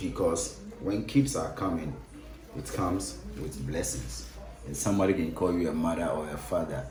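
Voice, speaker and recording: Over music in the background, a man with a Ghanaian accent speaks at a very deep, low pitch and a moderate pace, his lively intonation carrying audible room echo. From Ghana, Accra. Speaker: cook. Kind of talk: cooking demonstration. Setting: kitchen.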